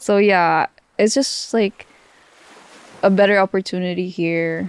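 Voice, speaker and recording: Speaking with a Filipino accent, a woman uses a fairly low pitch and a fairly slow pace. The sound is dry and close, with no echo. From Philippines. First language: Filipino language. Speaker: podcast co-host. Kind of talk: casual chat. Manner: hesitant, many fillers.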